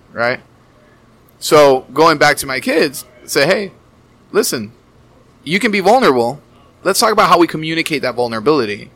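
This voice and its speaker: A man in an American accent talks at a medium tempo, his intonation lively, with noticeable noise in the background. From Miami, US. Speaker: therapist and wellness coach. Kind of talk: casual chat.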